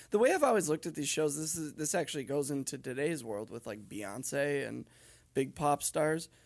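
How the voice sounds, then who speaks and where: A man speaks in an ordinary speaking voice at a fairly high pitch, with lively intonation and a moderate pace. The recording is very clean, with a silent background. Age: 30s. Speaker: podcast co-host. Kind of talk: casual chat.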